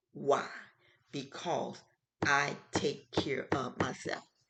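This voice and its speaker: A woman speaks in an animated tone. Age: 60s. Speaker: health show host. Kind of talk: casual talk show monologue.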